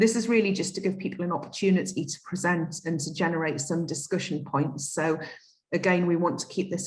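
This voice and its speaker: Speaking with a Geordie accent, a woman with a fairly low pitch talks at a fairly quick pace with fairly even intonation. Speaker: conference moderator. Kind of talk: event moderation.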